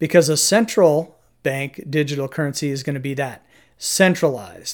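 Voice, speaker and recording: A man talks in an ordinary speaking voice at a fairly high pitch and a fairly slow pace, his pitch varying normally, on a very clean recording with a silent background. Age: 50s. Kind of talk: casual chat.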